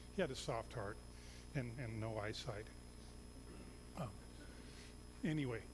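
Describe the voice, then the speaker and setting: There is audible room echo around the speaker. A man talks at a fairly quick pace. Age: 60s. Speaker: missionary pastor. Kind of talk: sermon. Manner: halting.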